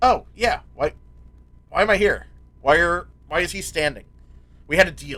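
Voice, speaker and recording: Putting on a character voice, a man projects at a high pitch in a raised voice, moving at a moderate pace with long, frequent pauses. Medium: actual play.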